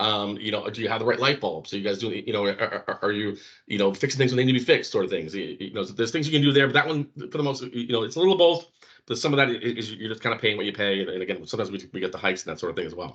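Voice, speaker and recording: Lively intonation marks a man's medium-pitched voice at a very fast pace. The background is quiet. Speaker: restaurant finance trainer. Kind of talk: training seminar. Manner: halting, many repetitions.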